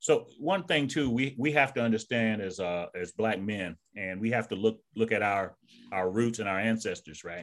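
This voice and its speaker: On a very clean recording with a silent background, a man with an ordinary speaking voice talks at a moderate pace and medium pitch, with ordinary pitch variation. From US South, Savannah, Georgia. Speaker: retired army sergeant major and author. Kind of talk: casual interview conversation.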